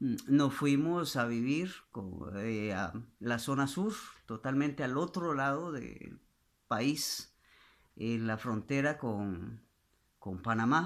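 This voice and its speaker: A man at medium pitch with lively intonation and a very slow pace, in a very clean recording with a silent background. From Costa Rica, southern zone near Panama. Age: 60s. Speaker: pastor. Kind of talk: testimony. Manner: halting, many fillers.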